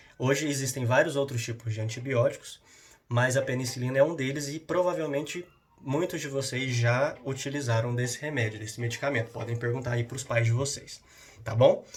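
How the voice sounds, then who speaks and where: A man's somewhat breathy, medium-pitched voice at a fairly quick pace with fairly even intonation. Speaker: school science teacher. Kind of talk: lecture. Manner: fast; halting.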